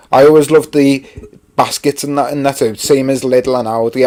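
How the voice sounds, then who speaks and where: A man's dark, mellow voice at a moderate pace, flat and monotone. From Merseyside, England (Rock Ferry, Wirral). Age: 30s. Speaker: YouTuber live-streaming. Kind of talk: casual live stream chat. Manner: chatty, filler-heavy.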